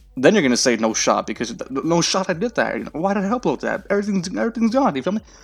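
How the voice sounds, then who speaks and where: A man talks at a very fast pace in a high pitch, with hardly any pauses. His animated tone swings very widely in pitch while music plays in the background. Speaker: gaming YouTuber. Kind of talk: gameplay commentary.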